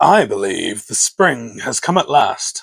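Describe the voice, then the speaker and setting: In a gruff, put-on character voice, the speaker talks at a fairly slow pace. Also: man, high pitch for a man. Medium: read story.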